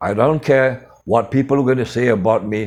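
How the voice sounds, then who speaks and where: In an ordinary speaking voice, a man speaks at a moderate pace with fairly even intonation. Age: 60s. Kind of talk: motivational storytelling. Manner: informal non-native phrasing.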